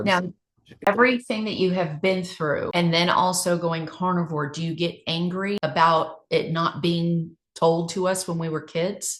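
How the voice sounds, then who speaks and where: A woman with an ordinary speaking voice has a fairly low pitch. She talks at a fairly slow pace with fairly even intonation. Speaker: podcast host. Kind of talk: interview question.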